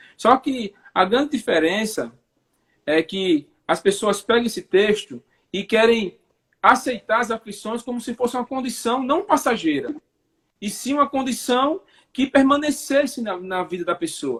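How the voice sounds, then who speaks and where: At a fairly slow pace, a man speaks at an extremely high pitch with lively intonation, the sound dry and close with no echo. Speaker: preacher. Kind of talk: religious teaching in a live chat. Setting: online live stream.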